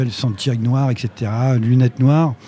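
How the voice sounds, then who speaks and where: This man has a dark, mellow tone at medium pitch. His voice is somewhat breathy. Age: 60s. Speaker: concert venue director. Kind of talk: live interview before audience. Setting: stage with audience. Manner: halting, repetitive.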